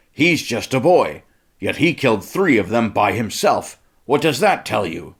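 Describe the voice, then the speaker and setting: A growling, put-on character voice moves at a moderate pace with very wide pitch swings, in a very clean recording with a silent background. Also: man, medium pitch for a man. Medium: read story. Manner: forceful, rousing.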